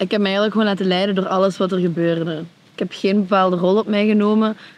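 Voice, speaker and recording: Fairly even intonation carries words delivered at a very fast pace. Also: woman. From Belgian Limburg. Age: 20s. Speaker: reality show contestant. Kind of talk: casual interview.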